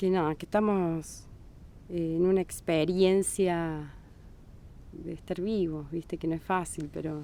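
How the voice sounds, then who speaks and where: Pausing long and often, a woman speaks at a very slow pace in a dark, mellow, fairly low voice with monotone, flat intonation. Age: 40s. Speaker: Bach flower therapist. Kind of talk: podcast interview. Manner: halting.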